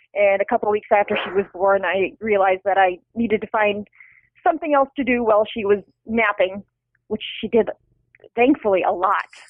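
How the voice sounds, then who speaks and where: A woman talks at a medium pitch with ordinary pitch variation. It is an ordinary speaking voice. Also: fairly quick pace. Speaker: novelist. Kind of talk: interview conversation.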